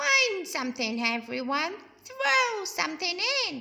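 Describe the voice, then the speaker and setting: A female-sounding put-on character voice, high-pitched, at a fairly slow pace. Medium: read story.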